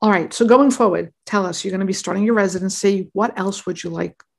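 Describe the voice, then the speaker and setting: A woman's medium-pitched voice with vocal fry, ordinary pitch variation and a fairly quick pace. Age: 50s. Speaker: physician and podcast host. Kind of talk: interview.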